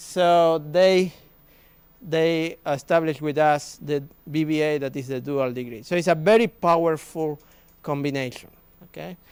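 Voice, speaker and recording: In a very clean recording with a silent background, a man with a Spanish accent speaks at a moderate pace. His pitch is fairly high, with ordinary variation. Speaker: business school professor. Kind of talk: presentation at an open day. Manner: halting.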